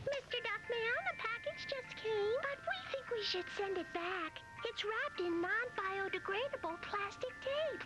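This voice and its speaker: An extremely high-pitched, cartoonish character voice runs on with hardly any pauses. Loud background noise fills the recording. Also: moderate pace. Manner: sweet, polite, chirpy.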